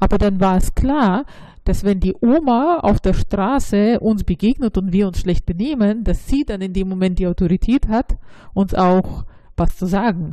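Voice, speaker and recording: Her dark, mellow tone carries a Russian accent as the woman speaks at a fairly slow pace. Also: medium pitch for a woman, ordinary pitch variation. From Russia, St. Petersburg. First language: Russian (speaking German). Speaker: local politician. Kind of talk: interview. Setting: office.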